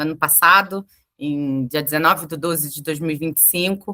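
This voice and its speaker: A woman's bright, sharp voice at a moderate pace, with ordinary pitch variation. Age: 40s. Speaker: HR professional. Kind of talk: interview. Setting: livestream. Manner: hesitant, many fillers.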